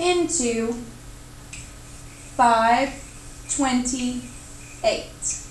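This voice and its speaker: Against noticeable background noise, a woman with a high pitch speaks very slowly with long, frequent pauses and ordinary pitch variation. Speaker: math teacher. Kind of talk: math tutorial narration.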